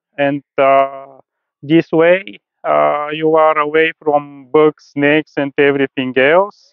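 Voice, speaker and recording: A man speaks in a Bulgarian accent at a fairly high pitch. His delivery is very slow, with monotone, flat intonation. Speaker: rooftop tent seller, traveler. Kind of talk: presentation to an audience. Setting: stage at an event with audience. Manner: halting, many fillers.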